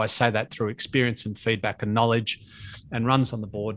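A man speaks at medium pitch with an Australian accent. The background is quiet. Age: 50s. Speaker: podcast host and fitness speaker. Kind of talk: casual interview chat.

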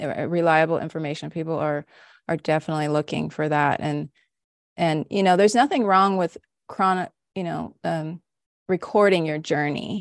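A woman's ordinary speaking voice with an American accent, fairly low in pitch and fairly even in intonation, at a moderate pace, in a dry, close sound with no echo and a quiet background. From Los Angeles, California. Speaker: homestead mentor and podcast host. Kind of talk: casual interview chat.

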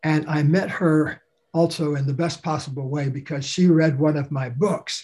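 Somewhat breathy delivery with fairly even intonation. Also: man. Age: 70s. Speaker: author and speaker. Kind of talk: interview.

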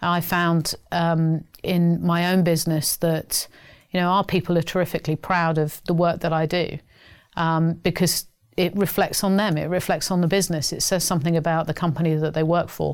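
A woman speaks at a fairly low pitch with monotone, flat intonation and very even loudness. The recording is very clean with a silent background. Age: 50s. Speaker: Pride event co-chair and business executive. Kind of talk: interview conversation. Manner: articulate, measured.

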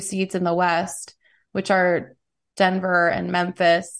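A woman with an American accent has a plain, everyday voice at medium pitch. She talks at a moderate pace over a quiet background. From New York City. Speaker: musician. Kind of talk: casual chat.

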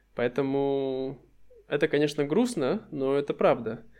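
The delivery comes at a fairly slow pace. Intonation stays fairly even. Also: man. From Russia. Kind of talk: casual chat.

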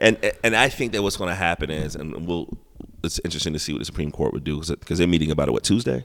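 Very deep and low, a man with an American accent shows vocal fry and ordinary pitch variation. He speaks at a very fast pace. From South Carolina. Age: 40s. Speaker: hip hop artist and gallery owner. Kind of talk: casual interview chat. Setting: art gallery.

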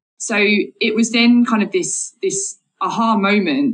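The speaker is a woman. Her accent is southern English. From Essex, England. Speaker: marine biologist. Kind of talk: interview.

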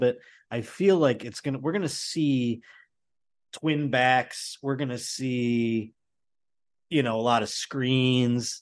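Against a quiet background, a man with an American accent talks at a medium pitch. He has an ordinary speaking voice with ordinary pitch variation. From Buffalo, New York. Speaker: comedian. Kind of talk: casual chat.

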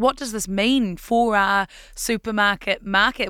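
A woman with a New Zealand accent and a bright, sharp tone, fairly high in pitch with ordinary pitch variation, at a moderate pace. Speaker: podcast news host. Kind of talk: news podcast presenting, conversational.

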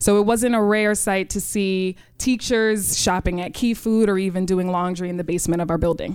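A woman with a New York accent, medium in pitch, at a moderate pace with fairly even intonation and hardly any pauses. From New York City, Queens. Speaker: high school chemistry teacher. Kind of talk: live storytelling. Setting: stage with audience.

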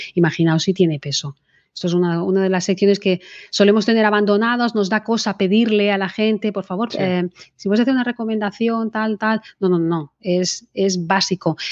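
A woman talks at a moderate pace with a medium pitch and fairly even intonation, in an ordinary speaking voice. The sound is dry and close with no echo, against a quiet background. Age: 40s. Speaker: political scientist and marketing trainer. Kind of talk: interview conversation.

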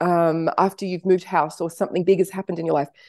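With an Australian accent, a woman has a medium pitch and a dark, mellow tone, recorded dry and close with no echo against a quiet background. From Australia (Sydney), early childhood in Canada and US. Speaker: author and wellbeing teacher. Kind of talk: interview. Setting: remote call.

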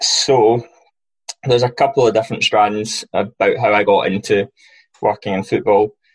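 A man talks at a moderate pace with a Glaswegian accent. The sound is dry and close, with no echo. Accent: Glaswegian Scottish. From Scotland, Glasgow. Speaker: football recruitment analyst. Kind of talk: interview.

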